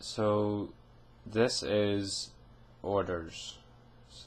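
Someone reads text aloud. The reading is plain.

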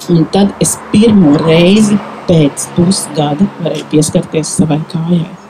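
Noticeable background noise surrounds a woman with a fairly low pitch. Her intonation is fairly even and her loudness very even. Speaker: nail care specialist; invited storyteller. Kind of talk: testimony. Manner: halting. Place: garden. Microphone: handheld.

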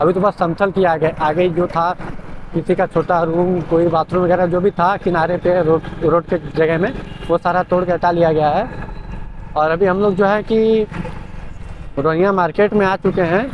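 A man's high-pitched voice with fairly even intonation, faint noise behind it. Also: moderate pace.

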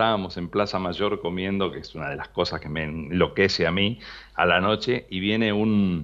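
With a Rioplatense accent, a man speaks at a fairly low pitch and a moderate pace against a quiet background. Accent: Argentine Rioplatense Spanish. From Buenos Aires province, Argentina (small town). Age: 60s. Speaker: retired radio announcer and journalist. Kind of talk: interview. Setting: phone call.

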